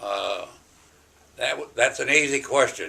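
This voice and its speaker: A man with an American accent at a very slow pace. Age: 80s+. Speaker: WWII bomber pilot. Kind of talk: interview answer.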